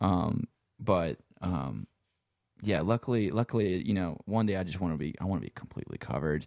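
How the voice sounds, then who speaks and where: This man talks at a fairly quick pace. His pitch is very deep and low, with vocal fry. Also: ordinary pitch variation, dry, close sound with no echo. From Lafayette, Louisiana. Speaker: sound engineer and guitarist. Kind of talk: casual chat. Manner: casual, filler-heavy, laid-back.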